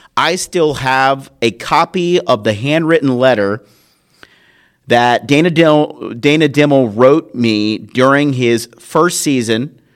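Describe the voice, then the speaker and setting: A man with an American accent, medium-pitched, animated in tone, with ordinary pitch variation on a very clean recording against a silent background. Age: 40s. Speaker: podcast host, former sports talk radio host. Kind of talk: solo podcast commentary.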